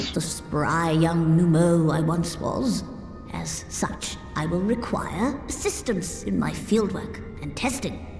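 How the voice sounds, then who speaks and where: Amid loud background noise, a woman puts on a character voice, speaking at a fairly slow pace and a fairly low pitch. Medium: game stream. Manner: formal, archaic.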